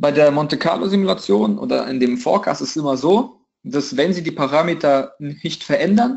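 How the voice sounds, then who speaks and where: A man with a fairly high pitch and an ordinary speaking voice, at a moderate pace. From Russia, St. Petersburg. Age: 20s. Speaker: trading educator. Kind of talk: tutorial. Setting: video call.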